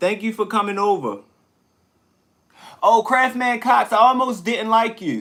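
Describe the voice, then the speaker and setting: Shouting loudly, a man with a high, bright, sharp voice and ordinary pitch variation speaks at a fairly slow pace, with long, frequent pauses. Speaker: livestreamer. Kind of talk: casual live stream chat. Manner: loud, tends to yell.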